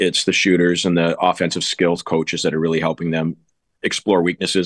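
With a very deep, low pitch and monotone, flat intonation, a man speaks in a dry, close sound with no echo over a quiet background. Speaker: goalie coach. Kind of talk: interview.

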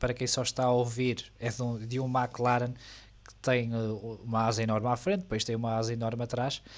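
A man with a European Portuguese accent and a medium pitch speaks at a fairly quick pace over a quiet background. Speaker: F1 podcast co-host. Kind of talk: casual chat.

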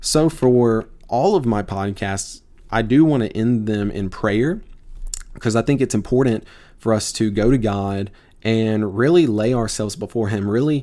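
In a very clean recording with a silent background, a dark, mellow voice with a Mississippi accent moves at a fairly slow pace with ordinary pitch variation. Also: man. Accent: Southern US (Mississippi). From US South, Tupelo, Mississippi. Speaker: podcast host, seminary student. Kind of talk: casual podcast introduction. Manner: informal, filler-heavy.

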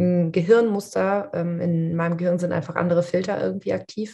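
A woman's voice is fairly low in pitch, somewhat breathy and dark, mellow in tone, with fairly even intonation. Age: 30s. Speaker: coach and podcast co-host. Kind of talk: casual chat.

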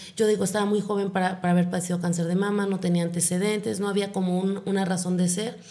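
A woman's medium-pitched, dark, mellow voice, very fast and monotone with hardly any pauses, in audible room echo. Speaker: psychologist and breast cancer foundation founder. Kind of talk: interview.

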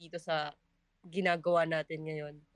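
A woman's moderate-paced speech over a quiet background. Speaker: culinary student, podcast co-host. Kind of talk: casual chat.

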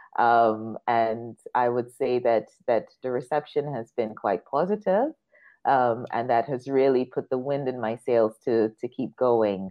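Very slowly, a woman speaks in a very deep, low voice. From Guyana. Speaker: business advisor and CEO. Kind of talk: interview.

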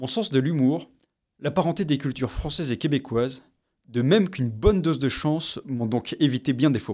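Recorded very cleanly against a silent background, a man with a dark, mellow tone and fairly high pitch talks at a fairly quick pace with ordinary pitch variation. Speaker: podcast host, graduate student. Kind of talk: scripted narration.

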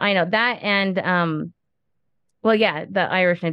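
A woman with a normal speaking voice talks with fairly even intonation. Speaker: podcast host. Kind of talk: casual interview chat.

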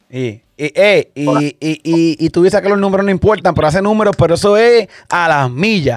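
With a Puerto Rican accent, a man speaks at a fairly quick pace in a high pitch with lively intonation, hardly any pauses, and a dry, close sound with no echo. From Puerto Rico, Santa Isabel. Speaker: podcast host and DJ. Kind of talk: interview.

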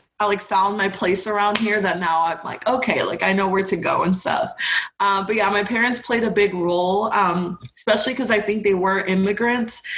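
At a fairly quick pace, the speaker keeps fairly even intonation and very even loudness against noticeable background noise. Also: woman, medium pitch for a woman. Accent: American. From Houston, Texas. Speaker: college student. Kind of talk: casual chat.

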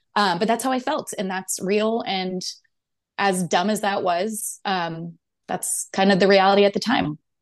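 A woman talks at a fairly slow pace with ordinary pitch variation. Her voice sits at a medium pitch against a quiet background. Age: 30s. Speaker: guest sharing pregnancy loss story. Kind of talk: interview.

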